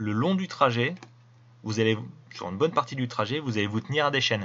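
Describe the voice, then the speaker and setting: A man with a medium pitch and ordinary pitch variation talks fairly quickly. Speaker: video commentator. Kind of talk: commentary over video. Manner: casual.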